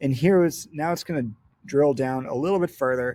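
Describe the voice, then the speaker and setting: A man at a moderate pace, with a dark, mellow tone. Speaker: webinar presenter. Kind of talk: product demo webinar. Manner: loud; casual, filler-heavy.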